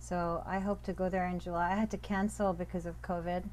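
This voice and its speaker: A woman talks at a moderate pace, and her speech has audible room echo. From Pakistan, raised moving between countries. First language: Urdu. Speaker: professor of religious studies. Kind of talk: interview conversation. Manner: animated.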